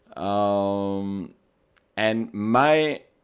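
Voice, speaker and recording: A man with a Belgian accent uses ordinary pitch variation on a very clean recording with a silent background. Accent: non-American, Belgian. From Belgium. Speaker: paintball team captain. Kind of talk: podcast interview.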